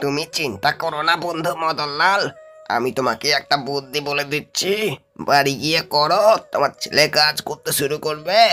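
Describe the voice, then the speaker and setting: Putting on a cartoonish character voice, a man speaks fairly slowly in a fairly high pitch while faint music plays behind him. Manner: warm, reassuring.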